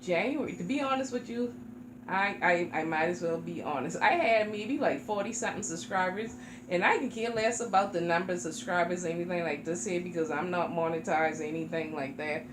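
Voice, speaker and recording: Through noticeable background noise and audible room echo, a woman with an American accent and a fairly low pitch speaks with very wide pitch swings. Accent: sounds Jamaican to others. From South Carolina, Charleston. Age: 40s. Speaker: reborn doll YouTuber. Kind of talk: casual chat.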